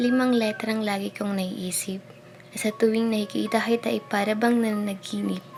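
With music in the background, a woman talks in a fairly high pitch. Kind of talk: spoken word poetry reading.

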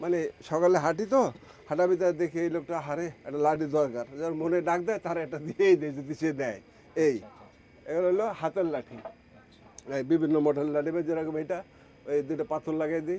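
The man's voice is fairly high yet dark and mellow in tone, with ordinary pitch variation. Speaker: woodcraft artisan. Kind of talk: demonstration interview.

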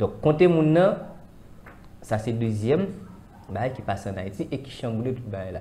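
A man speaks at a fairly slow pace, leaving long, frequent pauses. Light background noise can be heard. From Haiti. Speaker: spiritual commentator. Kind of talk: discussion. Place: studio. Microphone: lapel.

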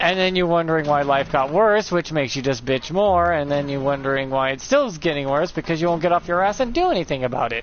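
Fairly high in pitch, this man talks at a fairly quick pace. It is a normal speaking voice with ordinary pitch variation. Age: 30s. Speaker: gaming streamer. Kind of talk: casual gameplay commentary. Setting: live stream. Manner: rambling, conversational.

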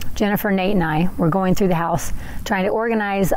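Over light background noise, a woman speaks with ordinary pitch variation in a dry sound with no echo. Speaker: podcaster. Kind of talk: casual vlog chat. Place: open country.

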